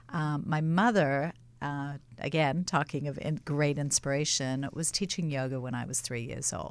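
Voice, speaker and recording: Recorded very cleanly against a silent background, a woman with a very deep, low pitch speaks at a moderate pace with ordinary pitch variation. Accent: American. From Australia, later Israel and Los Angeles. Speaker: marketing and PR entrepreneur. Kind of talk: talk show interview.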